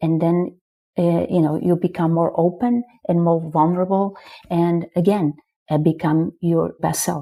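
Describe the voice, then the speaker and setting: A woman with a Portuguese accent, fairly low pitch, fairly slow pace and very even loudness. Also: fairly even intonation. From northern Portugal. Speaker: marketing executive. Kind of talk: podcast interview.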